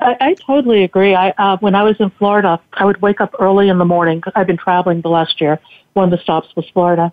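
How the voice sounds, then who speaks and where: A woman speaks at a very fast pace with very even loudness. Her pitch is medium and varies in an ordinary way. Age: 60s. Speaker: cancer survivor and tech entrepreneur. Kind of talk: casual interview. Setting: radio broadcast.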